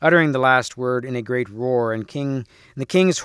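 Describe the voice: Ordinary pitch variation in plain reading aloud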